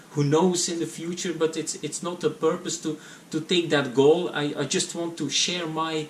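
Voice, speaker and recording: A man speaks at a moderate pace in a monotone, flat intonation. Noticeable background noise sits behind him. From Belgium (Flanders). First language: Dutch. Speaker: private pilot vlogger. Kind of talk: casual vlog to camera. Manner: halting, many fillers and repetitions.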